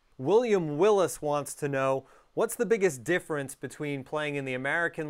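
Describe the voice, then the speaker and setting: At a fairly quick pace with ordinary pitch variation, a normal speaking voice comes through on a very clean recording with a silent background. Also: man. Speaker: podcast host. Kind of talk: casual interview.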